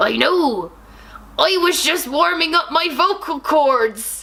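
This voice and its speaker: Fairly slow delivery in a put-on character voice. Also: woman, extremely high pitch for a woman. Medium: read story. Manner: loud, melodramatic.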